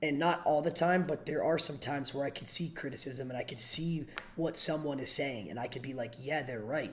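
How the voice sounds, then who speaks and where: A man with an American accent and a plain, everyday voice, fairly high in pitch with ordinary pitch variation, at a fairly quick pace with hardly any pauses. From Pennsylvania, US (Erie). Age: 20s. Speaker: streamer. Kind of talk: therapy session on livestream.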